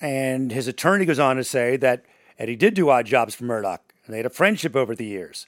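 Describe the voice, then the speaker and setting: An ordinary speaking voice from a man of medium pitch at a fairly quick pace, with lively intonation and big swings in loudness, on a very clean recording with a silent background. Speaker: podcast host and morning radio personality. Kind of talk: casual true crime discussion.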